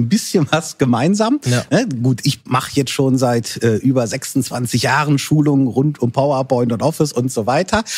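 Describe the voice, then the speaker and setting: A man talks at a moderate pace with hardly any pauses, his voice somewhat breathy. His intonation is lively while his loudness stays very even. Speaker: podcast host and software trainer. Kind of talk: casual chat.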